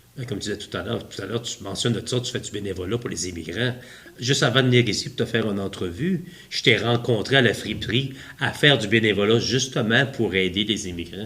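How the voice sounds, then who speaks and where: This man talks at a very fast pace. His voice sits at a medium pitch with ordinary pitch variation. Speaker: podcast host. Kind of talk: podcast interview questions.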